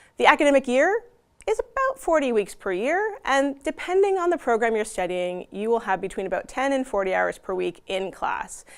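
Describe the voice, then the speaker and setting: Speaking with a non-native accent, a woman talks at a moderate pace in a high pitch. Her pitch swings very widely. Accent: non-Dutch. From Canada. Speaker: university representative. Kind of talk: conference presentation.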